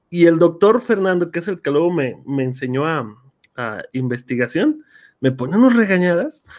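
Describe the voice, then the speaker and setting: Very wide pitch swings at a moderate pace. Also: man, high pitch for a man. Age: 30s. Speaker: podcast host, teacher. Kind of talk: casual chat. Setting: video call livestream.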